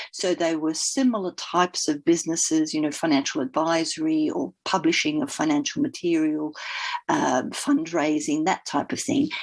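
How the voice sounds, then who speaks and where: A woman with an Australian accent talks at a moderate pace with lively intonation. Her pitch is fairly low. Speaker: leadership coach and former fund manager. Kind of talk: podcast interview.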